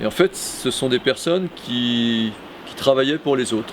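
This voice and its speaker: Speaking at a fairly slow pace and a medium pitch, a man is heard over noticeable background noise. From Brittany, France (Morbihan and Finistère). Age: 60s. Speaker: local election candidate, retired bank executive. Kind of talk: self-introduction video testimony. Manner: hesitant, many fillers (euh).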